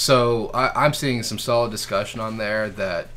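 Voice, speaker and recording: Audible room echo surrounds a man whose tone is bright and sharp. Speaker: meeting chair. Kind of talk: business meeting discussion. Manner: halting, stuttering.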